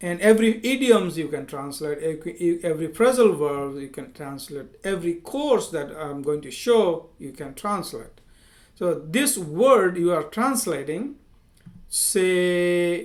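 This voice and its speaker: A man with an Indian accent speaks at a high pitch and a fairly slow pace. His intonation is lively, and his loudness swings widely. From India, village. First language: Hindi. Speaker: software engineer and language teacher. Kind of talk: tutorial. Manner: halting, with fillers and repetitions.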